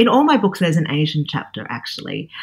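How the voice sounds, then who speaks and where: A woman speaks with an Australian accent. Her pitch sits fairly low. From Australia, Sydney. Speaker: cookbook author. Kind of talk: interview conversation. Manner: hesitant, many fillers.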